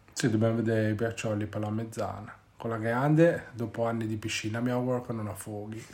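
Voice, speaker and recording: A man's medium-pitched, monotone delivery at a fairly quick pace, flat in intonation, with audible room echo and noticeable background noise. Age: 30s. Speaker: podcast host and parent. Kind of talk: casual chat. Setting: at home with children. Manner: halting.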